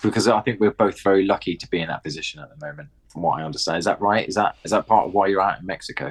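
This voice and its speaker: Very fast, lively speech from a man with a southern English accent, fairly low in pitch, with hardly any pauses and a dry, close sound with no echo. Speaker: skateboarding media presenter. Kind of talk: casual chat. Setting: in a house.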